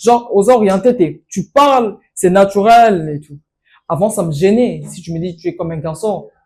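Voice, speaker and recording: At a fairly slow pace, a woman with a medium pitch and a dark, mellow tone speaks with lively intonation and big swings in loudness. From DR Congo, Kinshasa area. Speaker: master of ceremonies. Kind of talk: interview.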